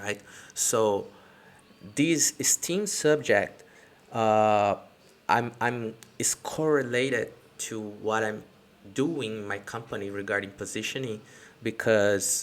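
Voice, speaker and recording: A man with a non-native accent talks at a very slow pace, leaving long, frequent pauses. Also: medium pitch for a man, ordinary pitch variation. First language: not English. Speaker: entrepreneur. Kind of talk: casual live-stream talk to camera. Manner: hesitant, many fillers.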